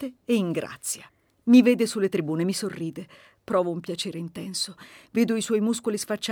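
Someone reads in a natural voice, the pitch moving in an ordinary way.

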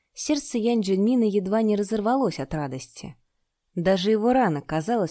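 Over a quiet background, the speaker does plain reading aloud with lively intonation.

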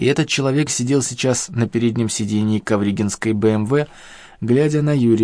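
Someone reads aloud plainly, the pitch shifting in an ordinary way.

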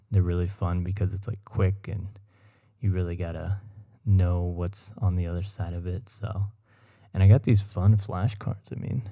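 Over a silent background in a very clean recording, a man speaks at a moderate pace in a very deep, low, somewhat breathy voice with a dark, mellow tone and flat, monotone intonation. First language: Spanish. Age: 20s. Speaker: podcast host. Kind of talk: solo casual podcast. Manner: rambling with filler words.

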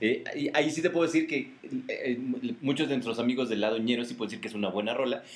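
With a Mexican accent, a man talks at a very fast pace, his medium pitch showing ordinary pitch variation. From Mexico. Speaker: podcast co-host. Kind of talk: casual chat.

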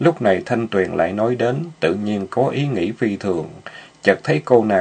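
The pitch moves in an ordinary way. It's reading aloud in a natural voice.

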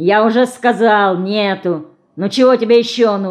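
Simply plain reading aloud.

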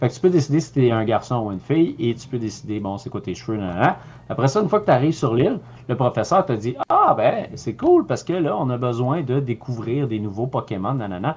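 Somewhat breathy, lively intonation in a Quebec accent, at a fairly quick pace. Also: man, medium pitch for a man. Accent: Québécois French. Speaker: video game podcast co-host. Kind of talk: casual chat. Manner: halting.

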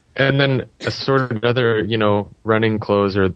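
A man's fairly low pitch in an unremarkable speaking voice, with fairly even intonation and a moderate pace. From Canada. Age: 30s. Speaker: triathlon podcaster and official. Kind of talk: casual panel chat.

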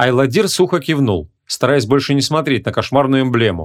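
The speaker uses an unforced reading voice with ordinary pitch variation. Nothing stirs in the quiet background.

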